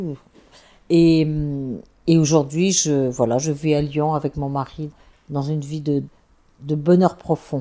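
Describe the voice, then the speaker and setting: The delivery moves at a very slow pace. Its tone is dark and mellow, with fairly even intonation. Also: woman. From France, Savoie (Chambéry). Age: 70s. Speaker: former nun. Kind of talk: testimony. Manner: halting.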